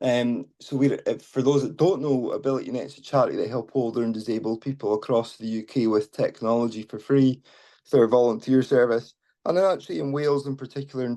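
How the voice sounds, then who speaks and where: Speaking with a Scottish accent, a man moves at a fairly quick pace at a medium pitch with ordinary pitch variation. His tone is dark and mellow, and the background is quiet. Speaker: charity community team lead. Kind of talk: informal talk. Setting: video call on mobile, out and about.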